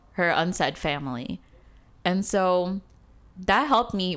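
In a very clean recording with a silent background, the voice is a woman's. She has an American accent and a fairly low pitch. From Chicago, US. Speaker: guest on identity podcast. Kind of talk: casual chat.

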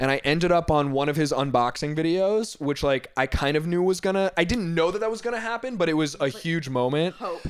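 A man with an American accent talks at a fairly quick pace in a high voice, his intonation lively, with noticeable background noise behind him. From Northern Virginia. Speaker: fashion designer. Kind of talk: casual chat.

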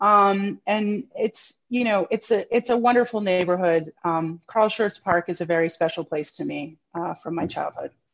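In a dry, close sound with no echo, a woman with an American accent uses a plain, everyday voice at a medium pitch, keeping a moderate pace with ordinary pitch variation and hardly any pauses. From New York City. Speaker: museum curator and historian. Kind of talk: interview conversation. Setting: remote video call.

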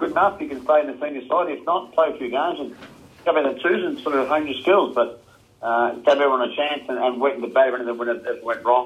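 An Australian accent from a man talking very fast, fairly high-pitched, with ordinary pitch variation. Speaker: retired Australian rules footballer. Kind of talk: casual interview.

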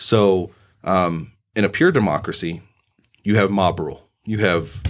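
Long, frequent pauses break up a man's moderate pace. His pitch is fairly low, with ordinary pitch variation. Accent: American. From US Midwest, southern Indiana. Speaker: political candidate and military veteran. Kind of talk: casual interview.

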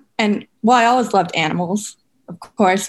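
In a quiet background, a woman with an unremarkable speaking voice talks at a fairly quick pace, with medium pitch and ordinary pitch variation. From Minnesota. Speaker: biology student. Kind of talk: interview.

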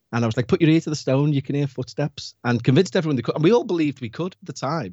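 With a Liverpool accent, a man speaks with ordinary pitch variation. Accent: Scouse (Liverpool). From Liverpool, England. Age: 40s. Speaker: paranormal podcast host. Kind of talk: casual interview chat.

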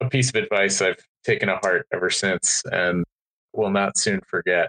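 At a moderate pace, someone speaks with an American accent in a dry, close recording with no echo. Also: man. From Maryland, US. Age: 20s. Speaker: beverage startup founder. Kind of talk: interview. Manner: hesitant with fillers.

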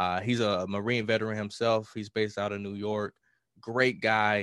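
A man with a Southern US accent speaks at a moderate pace and fairly low pitch, in a monotone, flat intonation. The recording is very clean with a silent background. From US South, rural Mississippi. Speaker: hip-hop artist. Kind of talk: podcast interview.

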